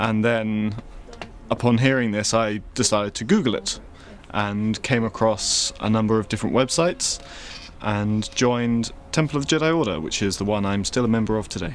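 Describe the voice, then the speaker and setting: At a moderate pace and with ordinary pitch variation, the speaker uses an ordinary speaking voice. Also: man, medium pitch for a man. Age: 20s. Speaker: member of a religious group. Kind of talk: interview.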